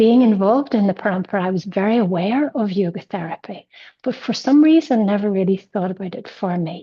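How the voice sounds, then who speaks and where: A woman talks at a fairly quick pace in a somewhat breathy voice with lively intonation. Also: medium pitch for a woman. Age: 60s. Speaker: yoga student sharing a patient experience. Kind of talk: personal testimony in an online session. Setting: online session. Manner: halting, with many fillers.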